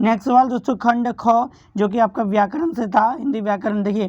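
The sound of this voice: Fairly quick and with fairly even intonation, a woman talks in a slightly mellow tone.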